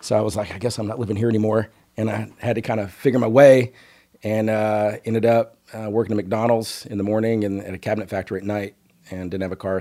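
The speech moves at a very fast pace with monotone, flat intonation. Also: man. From Northeast Texas. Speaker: business executive. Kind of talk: casual interview.

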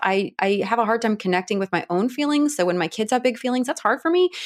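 A woman talks with a Midwestern US accent. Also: very clean recording, silent background. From Ohio, Cleveland area. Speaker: author and mother. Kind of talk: interview.

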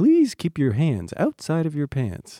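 A put-on character voice at a middle pitch comes through on a very clean recording with a silent background. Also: fairly slow pace.

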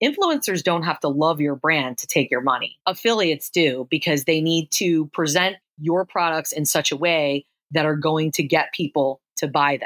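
A woman's very deep, low voice with an American accent, fairly even intonation, and a very clean recording over a silent background. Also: moderate pace. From Philadelphia area, US. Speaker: affiliate marketing consultant. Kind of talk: interview. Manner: frequent repetitions and fillers.

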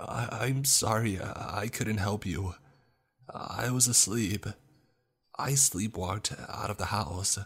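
A man speaks slowly in a put-on character voice, pitched fairly low with ordinary pitch variation. His tone is fairly bright, with a slightly husky edge.

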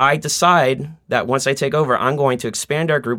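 A man with an American accent and a plain, everyday voice speaks at a fairly quick pace with ordinary pitch variation, in a very clean recording with a silent background. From Boston, Roslindale. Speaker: social group organizer. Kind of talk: casual chat.

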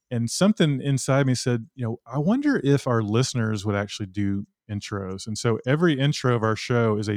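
With an American accent, a man talks at a fairly quick pace at medium pitch with ordinary pitch variation, an unremarkable speaking voice. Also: very clean recording, silent background. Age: 50s. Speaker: podcast host and trail runner. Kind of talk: casual interview.

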